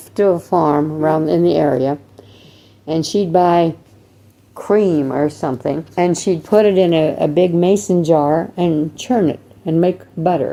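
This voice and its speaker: A woman's dark, mellow voice, fairly low in pitch, with very even loudness, ordinary pitch variation and a fairly slow pace. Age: 80s+. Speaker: grandmother. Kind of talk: interview answer.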